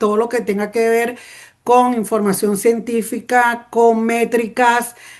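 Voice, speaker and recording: A woman speaks with a passionate tone at a fairly slow pace. Her pitch is fairly high, and the background is quiet. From Venezuela, Petare (Caracas). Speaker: journalist. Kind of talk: panel talk. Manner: spontaneous, with many fillers and restarts.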